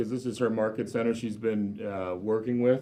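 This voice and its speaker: Speaking at a fairly quick pace, a man uses ordinary pitch variation in a normal speaking voice. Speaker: mortgage lender sponsor. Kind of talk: sponsor speech. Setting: office meeting with audience, microphone. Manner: loud.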